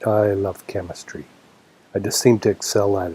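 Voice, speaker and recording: A man talks at a moderate pace in a dark, mellow tone. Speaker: vlogger. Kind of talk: casual chat. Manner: hesitant, with fillers.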